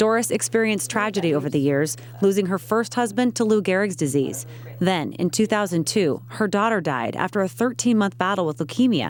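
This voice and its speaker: At a fairly quick pace, a woman of medium pitch speaks with very wide pitch swings and very even loudness. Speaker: TV news reporter. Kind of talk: TV news feature narration.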